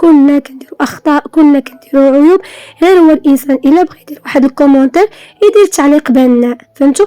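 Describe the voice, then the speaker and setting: A woman's high-pitched voice at a fairly quick pace, with ordinary pitch variation and a dry, close sound with no echo. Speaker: home organizing vlogger. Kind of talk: casual vlog talk to viewers.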